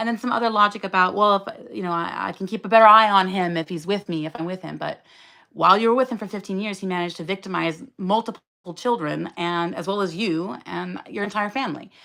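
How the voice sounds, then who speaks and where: A woman's bright, sharp voice at a very fast pace, with ordinary pitch variation and big swings in loudness, on a very clean recording with a silent background. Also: medium pitch for a woman. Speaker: writer and educator living with schizophrenia, content creator. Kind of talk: live stream Q&A, personal testimony. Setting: live stream at home. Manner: fast, pressured speech at times; halting, many repetitions and fillers.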